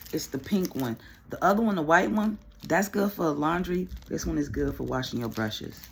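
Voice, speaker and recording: A woman at a fairly slow pace. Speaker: beauty vlogger. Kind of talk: casual story time while doing makeup.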